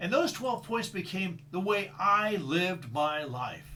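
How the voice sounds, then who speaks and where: A man talks in a high pitch with a bright, sharp tone. Room echo is audible. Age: 60s. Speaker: leadership trainer. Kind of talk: solo talk on personal values. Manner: halting, repeats words.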